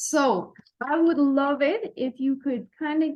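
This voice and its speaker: This is a woman talking with an Irish accent. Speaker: health podcast host. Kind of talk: podcast interview.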